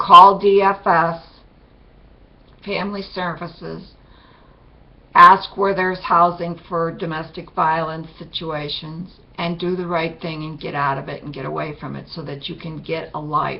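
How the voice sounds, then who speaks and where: A woman speaks at a fairly slow pace and a fairly low pitch, in a monotone, flat intonation. Her loudness swings a lot, and audible room echo is present. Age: 60s. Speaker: video blogger sharing personal testimony. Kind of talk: testimony.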